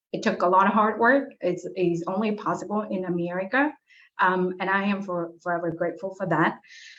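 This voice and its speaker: Fairly quick speech from a woman at medium pitch, with ordinary pitch variation. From abroad, immigrant to US. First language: not English. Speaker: political candidate, chemistry lecturer. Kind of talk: candidate forum statement.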